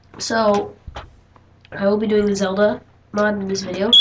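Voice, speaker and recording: Noticeable noise can be heard in the background. Over it, a woman talks. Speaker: gaming youtuber. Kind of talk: gameplay tutorial commentary. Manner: casual, hesitant with fillers.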